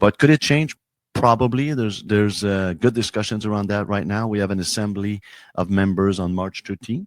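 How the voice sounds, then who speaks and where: A man with a Quebec accent speaks at a fairly quick pace, his pitch fairly low and its variation ordinary. The recording is very clean with a silent background and a dry, close sound with no echo. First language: French. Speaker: hockey league commissioner. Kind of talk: interview. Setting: studio. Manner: halting, many fillers and repeats.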